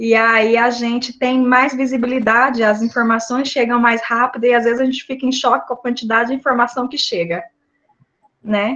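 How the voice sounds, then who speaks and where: A woman speaks with a high pitch and a bright, sharp tone. Her intonation stays monotone and flat. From Brazil, Mato Grosso do Sul. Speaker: psychologist. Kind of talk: online talk.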